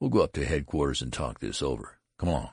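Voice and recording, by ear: A man puts on a character voice at an extremely low pitch, with vocal fry and a slightly husky edge. He talks at a fast pace with big pitch swings. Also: very clean recording, silent background.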